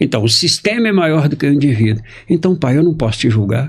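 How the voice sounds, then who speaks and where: A man's fairly quick speech swings very widely in pitch. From Brazil. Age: 60s. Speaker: journalist and family constellation facilitator. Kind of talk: interview storytelling.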